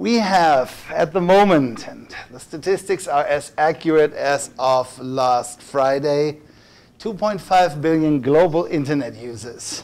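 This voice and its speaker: Speaking at a fairly slow pace, a man with a German accent uses a fairly high voice and ordinary pitch variation over noticeable background noise. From Germany. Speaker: workshop presenter. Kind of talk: lecture. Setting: room with audience. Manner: hesitant, many fillers.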